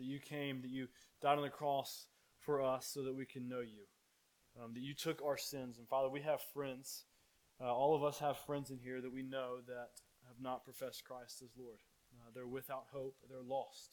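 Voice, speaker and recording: A man speaks at a moderate pace and medium pitch, his intonation monotone and flat while his loudness swings widely. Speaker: pastor. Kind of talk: prayer service; fervent prayer. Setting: church. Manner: earnest, pleading; halting, with filler words.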